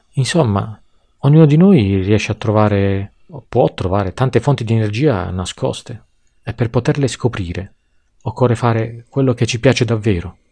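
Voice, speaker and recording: On a very clean recording with a silent background, a man speaks at a moderate pace in a dark, mellow tone, leaving long, frequent pauses. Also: medium pitch for a man, ordinary pitch variation. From Tuscany, Pisa. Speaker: podcast guest. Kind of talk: scripted monologue.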